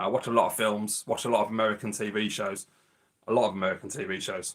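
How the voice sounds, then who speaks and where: With a Birmingham accent, a man with a fairly low pitch talks at a very fast pace. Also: fairly even intonation. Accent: Birmingham (Brummie). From Birmingham, England. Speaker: retro gaming YouTuber. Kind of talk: casual live-stream chat. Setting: live stream.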